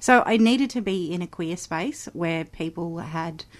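A woman's fairly low voice with an Australian accent, at a very slow pace over a quiet background. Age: 40s. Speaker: musician. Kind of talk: interview. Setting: studio.

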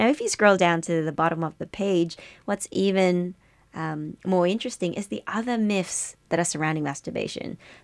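Upbeat and bubbly, a woman with a fairly low voice talks at a moderate pace with ordinary pitch variation on a very clean recording with a silent background. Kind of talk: radio DJ patter, a bright welcome-back segment intro. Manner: chirpy, upbeat, chatty and bubbly, with a warm on-air delivery; animated, laughs often and banters with the co-host.

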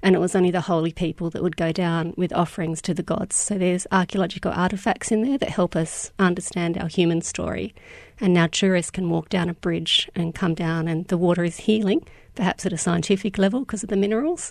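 A woman with an Australian accent, fairly low in pitch, fairly quick and fairly even in intonation, against a quiet background. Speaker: educational games designer. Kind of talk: interview.

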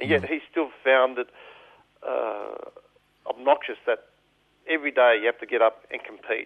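At a moderate pace and with an Australian accent, a man speaks with long, frequent pauses. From Melbourne, Australia (eastern suburbs). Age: 50s. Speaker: political activist. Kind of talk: radio interview. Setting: radio studio.

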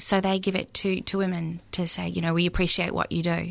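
A woman with an Australian accent talks at a fairly quick pace and a medium pitch. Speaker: author. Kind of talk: radio interview. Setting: studio.

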